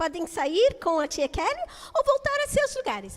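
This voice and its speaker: The voice has an English accent. Its pitch swings very widely. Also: woman. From United States. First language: English (speaking Portuguese). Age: 60s. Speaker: children's teacher. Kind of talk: children's talk in church service. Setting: church.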